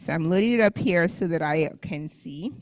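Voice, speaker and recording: A woman with a plain, everyday voice speaks at a fairly low pitch, her intonation lively. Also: very clean recording, silent background. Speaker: health class instructor. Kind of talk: class presentation.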